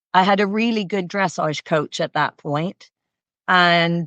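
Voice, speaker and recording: A woman with a slight Canadian accent, fairly low pitch, fairly even intonation and a fairly slow pace, in a dry, close sound with no echo against a quiet background. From Canada. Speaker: equestrian coach. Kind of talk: interview.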